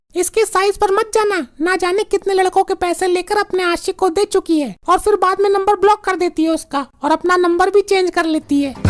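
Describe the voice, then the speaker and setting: In a cartoonish character voice pitched extremely high, a woman speaks at a fairly quick pace with fairly even intonation, the sound dry and close with no echo. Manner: brash, scornful.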